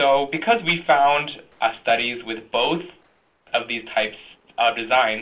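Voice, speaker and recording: A man speaks at a moderate pace with lively intonation. He has an unremarkable speaking voice. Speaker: academic journal editor. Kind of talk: scripted presentation. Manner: formal.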